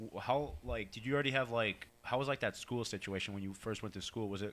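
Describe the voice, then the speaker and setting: A man's bright, sharp tone at a fairly quick pace, with ordinary pitch variation. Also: very clean recording, silent background. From US Northeast (Waterbury, Connecticut). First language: Portuguese. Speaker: podcast co-host. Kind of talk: casual chat. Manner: animated.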